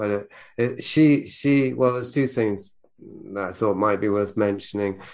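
A man speaks in a plain, everyday voice, fairly low in pitch, at a moderate pace with ordinary pitch variation. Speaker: podcast host. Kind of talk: interview conversation.

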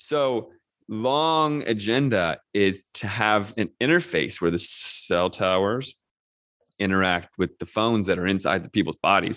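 An ordinary speaking voice belonging to a man with an American accent comes at a fairly slow pace and fairly low pitch, with lively intonation, the sound dry and close with no echo and the background quiet. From US, northern Virginia near DC. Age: 40s. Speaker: documentary director. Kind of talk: interview.

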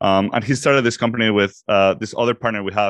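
A man with a Mexican accent talks at a very fast pace, his voice fairly low with fairly even intonation. The background is quiet. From Mexico. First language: Spanish. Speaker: startup executive. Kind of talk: interview.

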